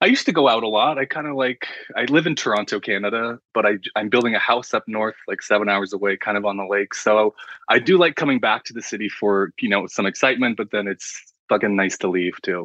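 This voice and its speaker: With a normal speaking voice, a man talks at a fairly quick pace, his pitch fairly low and its variation ordinary. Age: 30s. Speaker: artist and graphic designer. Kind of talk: casual chat.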